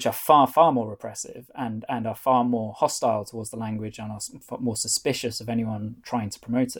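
Talking at a fairly quick pace with hardly any pauses, a man with a North Welsh accent has a medium pitch, fairly even intonation and big swings in loudness. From North Wales. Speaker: author and foreign correspondent. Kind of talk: interview.

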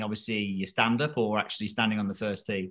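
At a fairly quick pace, a man speaks in a plain, everyday voice with a medium pitch. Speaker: golf coach co-host. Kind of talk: casual interview chat.

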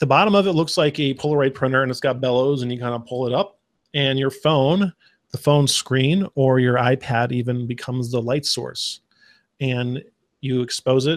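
Heard over a quiet background, a normal speaking voice with an American accent moves at a moderate pace with ordinary pitch variation. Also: man, medium pitch for a man. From Arizona. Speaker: podcast co-host. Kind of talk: casual chat.

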